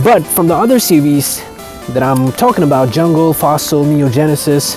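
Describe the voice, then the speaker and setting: A man with a non-native accent speaks at a moderate pace and a fairly high pitch. There is noticeable background noise. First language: not English. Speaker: card collector vlogger. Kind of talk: casual vlog. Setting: outdoors. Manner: halting.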